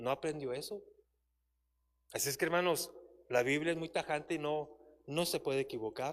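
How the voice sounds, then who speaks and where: Speaking at a moderate pace with long, frequent pauses, a man uses a fairly high pitch and fairly even intonation. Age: 60s. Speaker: church Bible teacher. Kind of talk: sermon.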